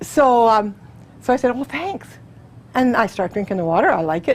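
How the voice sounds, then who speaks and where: A woman speaks at a fairly quick pace. Her voice is fairly high in pitch. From Canada. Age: 60s. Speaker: testimonial speaker. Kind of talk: testimony. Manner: fast, chatty.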